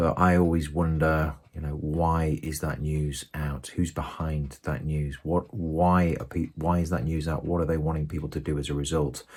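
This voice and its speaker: Soft-spoken and with a British accent, a man with a very deep, low pitch talks at a moderate pace in a monotone, flat intonation with hardly any pauses, in a very clean recording with a silent background. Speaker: forex trader vlogger. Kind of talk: casual video diary. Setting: at home. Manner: hesitant with fillers.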